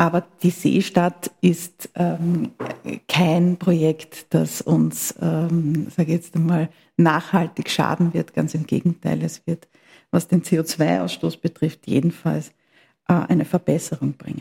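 A woman's very slow, monotone, flat delivery, fairly low in pitch with a dark, mellow tone and vocal fry, dry and close with no echo. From Austria, Vienna. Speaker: politician, party secretary. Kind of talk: interview. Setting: party headquarters office, mobile studio. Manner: formal.

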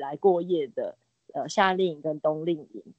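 A woman speaks with a fairly low pitch and an ordinary speaking voice. Her pace is fairly slow. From Taiwan, Nantou (Jiji). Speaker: art teacher and school founder. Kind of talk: interview.

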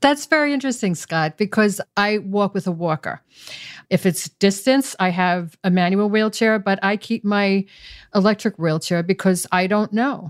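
Pitch varies in an ordinary way, and the pace is moderate. This unremarkable speaking voice sounds dry and close, with no echo. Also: woman, medium pitch for a woman. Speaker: patient advocate, former pharmaceutical executive. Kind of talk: interview.

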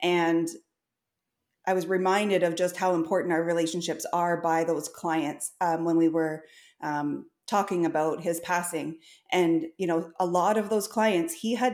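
A woman with a Canadian accent speaks at a fairly slow pace, her fairly low voice keeping a fairly even intonation. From Ontario, Canada. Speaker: large animal veterinarian. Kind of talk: casual interview.

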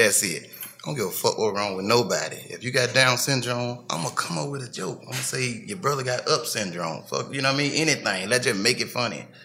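Over noticeable background noise, a speaker with a Memphis accent moves at a fairly quick pace with lively intonation and hardly any pauses. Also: man. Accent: Southern US, Memphis. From Memphis, Tennessee. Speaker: comedian. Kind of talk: casual chat.

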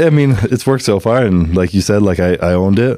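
With a Canadian accent, a man speaks at a fairly quick pace in a fairly low pitch and a slightly mellow tone.

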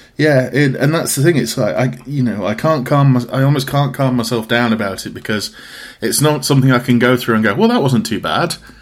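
At a fairly quick pace, a man with an East Midlands accent talks at a medium pitch. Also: ordinary pitch variation. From Derbyshire, English East Midlands. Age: 30s. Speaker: podcast host and graphic designer. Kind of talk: casual interview chat.

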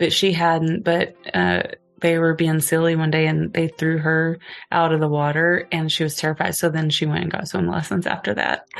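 Soft-spoken, a woman talks at a moderate pace with a very deep, low pitch and fairly even intonation. She speaks with an American accent. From Oklahoma, US. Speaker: podcast guest, photographer and singer. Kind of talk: casual chat. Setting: in person, two mics.

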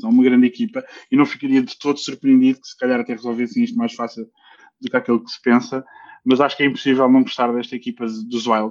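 A man at a medium pitch speaks in a monotone, flat intonation. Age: 30s. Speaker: ice hockey commentator. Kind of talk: casual sports chat.

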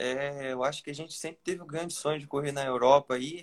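The man uses an unremarkable speaking voice, pitched fairly high and delivered at a moderate pace. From Brazil, interior of Rio de Janeiro state. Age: young. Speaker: young road cyclist. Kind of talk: interview. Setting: live stream on Instagram.

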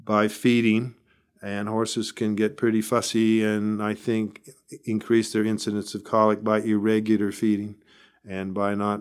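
A man speaks at a moderate pace with an American accent. His pitch is fairly low, and his intonation is monotone and flat. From US, northern San Diego County, California. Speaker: large animal veterinarian. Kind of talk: interview.

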